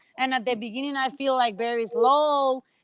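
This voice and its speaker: Speaking with a Spanish accent, a woman uses a high pitch, ordinary pitch variation and a bright, sharp tone, in a dry, close sound with no echo. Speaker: professional racquetball player. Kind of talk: interview. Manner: halting.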